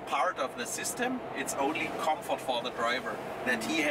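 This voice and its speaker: Loud background noise sits behind a man speaking at a moderate pace. His pitch variation is ordinary. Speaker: system demonstrator. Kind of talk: explanatory demo commentary. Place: car.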